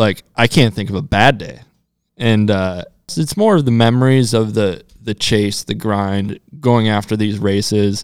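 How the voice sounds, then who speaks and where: An ordinary speaking voice with an American accent, ordinary pitch variation and a fairly slow pace. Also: man, fairly low pitch for a man. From US Midwest. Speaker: professional off-road motorcycle racer. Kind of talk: casual interview chat. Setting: studio.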